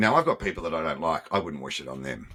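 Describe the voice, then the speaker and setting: With an Australian accent, a man's bright, sharp voice carries vocal fry and lively intonation. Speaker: former nightclub owner. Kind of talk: interview.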